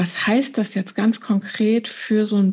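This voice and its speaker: A woman with a Rhenish accent speaks at a moderate pace with fairly even intonation. Her voice is somewhat breathy, with a dark, mellow tone. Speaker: trauma therapist. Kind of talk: interview.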